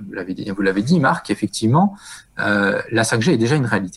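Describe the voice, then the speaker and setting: His pitch leaps and dips across a very wide range. The man's voice sits at a medium pitch and keeps a moderate pace. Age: 40s. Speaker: telecom executive. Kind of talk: interview.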